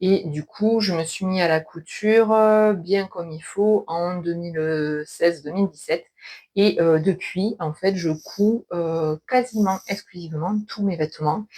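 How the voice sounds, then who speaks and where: A woman talks at a very slow pace in a fairly low pitch. Her tone is dark and mellow, with ordinary pitch variation. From southwestern France (between Toulouse and Castres). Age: 40s. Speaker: knitting and sewing youtuber. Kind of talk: casual video podcast monologue. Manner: hesitant, many filler sounds.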